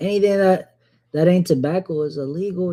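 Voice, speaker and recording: The voice carries a Southern US accent. Its tone is dark, mellow and relaxed. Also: man. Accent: Southern US (Georgia). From US South, Georgia. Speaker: fragrance streamer. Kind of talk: casual livestream chat. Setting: live stream. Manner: relaxed, slangy.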